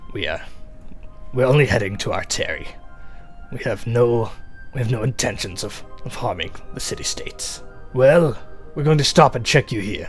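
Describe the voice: Clear music plays in the background behind a put-on character voice that takes long, frequent pauses. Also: man, medium pitch for a man, moderate pace.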